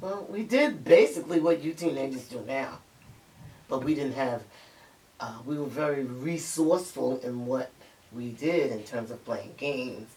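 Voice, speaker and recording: A woman with a New York accent speaks in a very deep, low voice, her loudness swinging widely. Noticeable background noise runs behind her. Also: ordinary pitch variation, moderate pace. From Harlem, New York City. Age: 70s. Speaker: grandparent interviewee. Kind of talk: interview.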